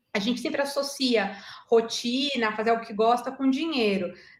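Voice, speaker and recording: Her tone is animated, and her pitch sits fairly high for a woman. She speaks at a moderate pace. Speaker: agile and digital transformation specialist. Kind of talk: online talk answering audience questions. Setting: online video meeting.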